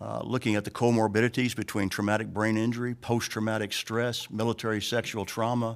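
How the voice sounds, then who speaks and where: On a very clean recording with a silent background, a man speaks in a monotone with flat intonation. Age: 70s. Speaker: retired Marine officer and veterans advocate testifying. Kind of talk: legislative committee testimony. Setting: state legislature committee hearing.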